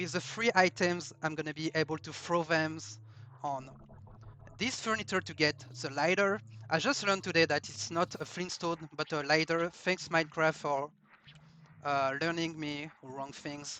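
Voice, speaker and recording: Speaking at a moderate pace with a French accent, a man has a bright, sharp, fairly high voice with ordinary pitch variation. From France. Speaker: speedrunner. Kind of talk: live gameplay commentary. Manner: halting.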